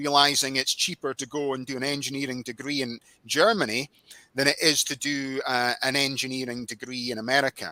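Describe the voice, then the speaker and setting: A man speaks in a bright, sharp tone with a Scottish accent, his pitch fairly high and his intonation fairly even. The pace is fairly quick, and the sound is dry and close with no echo. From Scotland. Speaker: podcast host. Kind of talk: interview.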